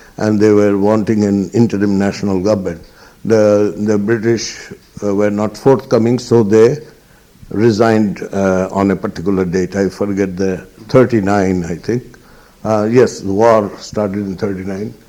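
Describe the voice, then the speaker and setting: The man's voice has a dark, mellow tone at a fairly low pitch. His intonation stays fairly even. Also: moderate pace. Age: 70s. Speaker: eyewitness interviewee. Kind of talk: oral history interview. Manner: halting, many fillers.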